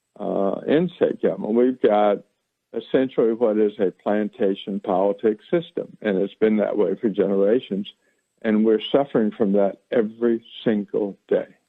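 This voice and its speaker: A man talks at a moderate pace, his fairly low voice showing ordinary pitch variation and very even loudness. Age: 60s. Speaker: political candidate. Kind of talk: radio interview. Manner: halting, many repetitions and fillers.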